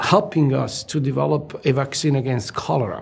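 A man with a fairly high voice speaks at a moderate speed, noticeable noise audible behind him. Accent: Italian. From southern Italy (Naples). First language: Italian. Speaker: medical researcher, gastroenterologist. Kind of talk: interview. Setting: studio. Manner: hesitant, with many fillers.

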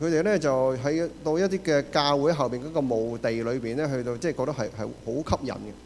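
A man talks with a Cantonese accent at a fairly quick pace, with hardly any pauses. His pitch is fairly high, with ordinary variation. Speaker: church interpreter. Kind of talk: sermon interpretation. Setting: church.

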